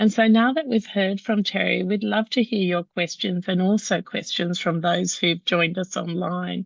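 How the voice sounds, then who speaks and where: A woman with an Australian accent speaks at a medium pitch and a moderate pace, with ordinary pitch variation. Her voice is somewhat breathy, with a dry, close sound and no echo. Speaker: patient organisation CEO, webinar host. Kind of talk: webinar hosting.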